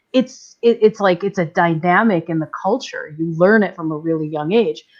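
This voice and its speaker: A woman talks in an ordinary speaking voice with an American accent. Her pitch is medium, with ordinary variation. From New York. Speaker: live stream panelist. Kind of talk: casual chat.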